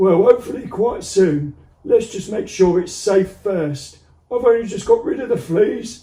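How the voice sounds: A man speaks in a put-on character voice. His pitch sits high. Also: moderate pace.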